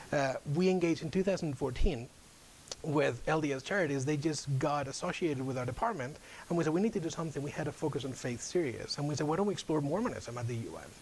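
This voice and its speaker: A man's fairly high-pitched voice at a very fast pace, with ordinary pitch variation and audible room echo. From Spain. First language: Spanish. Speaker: UN outreach officer. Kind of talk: guest lecture.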